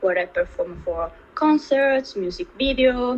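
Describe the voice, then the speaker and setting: A woman speaks in an Italian accent. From Italy. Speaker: dancer. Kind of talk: interview.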